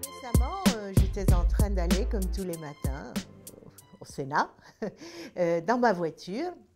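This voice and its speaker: Over music in the background, a woman speaks very slowly with long, frequent pauses. Her loudness swings widely. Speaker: senator. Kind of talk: personal anecdote told to camera. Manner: hesitant, many filler sounds.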